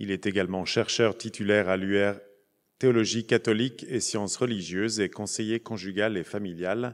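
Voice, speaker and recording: A man with a plain, everyday voice talks at a fairly low pitch and a fairly slow pace. His intonation is fairly even, and the background is quiet. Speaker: conference moderator. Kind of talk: formal introductions. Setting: conference hall with audience. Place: hall. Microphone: podium.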